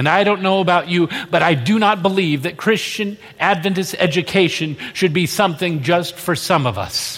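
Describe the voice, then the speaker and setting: Moderate pace, ordinary pitch variation and hardly any pauses, with audible room echo. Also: man, high pitch for a man. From moved often: US states, Indonesia, Australia. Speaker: pastor. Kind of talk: sermon.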